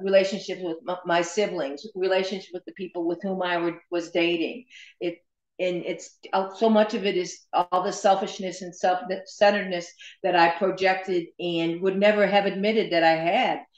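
Against a quiet background with audible room echo, a woman speaks at a moderate pace in a monotone, flat intonation. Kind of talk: interview answer. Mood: reflective, candid. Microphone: video call.

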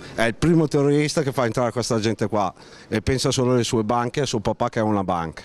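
Talking at a fast pace, a man has a slightly mellow tone. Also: medium pitch for a man, ordinary pitch variation.

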